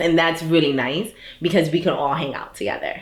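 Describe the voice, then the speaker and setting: In a New York accent, a woman talks at a moderate pace with fairly even intonation. The room echo is audible. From US Northeast, Brooklyn New York. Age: 30s. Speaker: startup founder. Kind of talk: personal interview monologue. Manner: casual, with many fillers.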